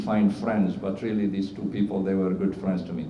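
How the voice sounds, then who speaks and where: Amid noticeable background noise and audible room echo, a man with a Syrian Arabic accent speaks fairly quickly at a fairly low pitch. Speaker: cardiologist. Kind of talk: award acceptance speech. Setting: stage with audience at awards ceremony. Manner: halting, many fillers.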